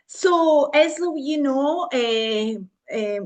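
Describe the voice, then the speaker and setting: A woman with an Italian accent speaks against a quiet background. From Italy. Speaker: university lecturer in psychology. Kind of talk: online lecture. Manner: halting, many fillers.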